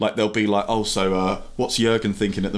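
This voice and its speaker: The speech comes at a very fast pace with monotone, flat intonation. Noticeable background noise is present. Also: man. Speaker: football YouTube creator. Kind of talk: podcast interview.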